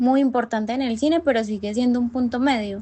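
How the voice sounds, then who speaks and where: A woman is speaking. She has a strong Antioquian accent. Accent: strong paisa. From Colombia, Medellín (paisa). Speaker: university student podcast co-host. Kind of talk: casual discussion podcast.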